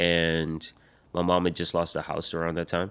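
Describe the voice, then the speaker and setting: Very deep and low in pitch, a man speaks. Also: very clean recording, silent background. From Rhode Island. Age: 30s. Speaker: rapper. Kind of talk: casual chat.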